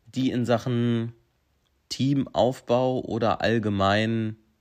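The background stays quiet. A man talks in a medium-pitched voice. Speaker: podcast host. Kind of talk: casual monologue. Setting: at home. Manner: energetic.

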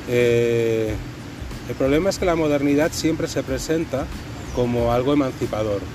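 Over noticeable background noise and audible room echo, a man speaks at a moderate pace with ordinary pitch variation and long, frequent pauses. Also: medium pitch for a man. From Catalonia, Spain. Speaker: anthropologist. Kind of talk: casual discussion.

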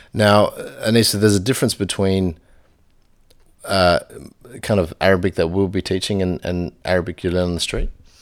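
A man's very deep, low voice, fairly quick yet broken by long, frequent pauses, with fairly even intonation, in a very clean recording with a silent background. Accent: Australian. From Australia. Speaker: language teacher. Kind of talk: language lesson podcast.

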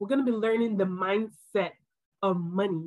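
A normal speaking voice, a woman's, moderate in pace and ordinary in pitch variation. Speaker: pharmacist turned financial educator. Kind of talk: online course lesson.

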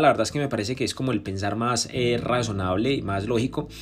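Medium-pitched, animated man talking at a fairly quick pace over noticeable background noise. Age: 20s. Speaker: podcaster and entrepreneur. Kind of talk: autobiographical monologue.

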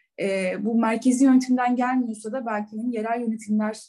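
At a moderate pace, a woman's voice comes through with a dark, mellow tone. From İzmir, Turkey. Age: 30s. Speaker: banker. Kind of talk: casual interview.

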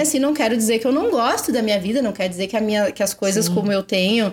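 A woman speaks with lively intonation. Noticeable noise sits in the background. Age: 30s. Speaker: English teacher and mother. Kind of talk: casual chat. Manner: clear diction.

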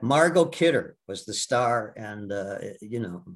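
The background stays quiet. A man is speaking with an American accent. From US Midwest, Milwaukee. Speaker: Broadway actor. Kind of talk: casual interview. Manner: halting.

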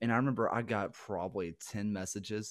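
Here a man talks with a strong Southern US accent. His pitch variation is ordinary. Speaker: guest, teacher and former football player. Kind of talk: casual interview chat. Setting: video call.

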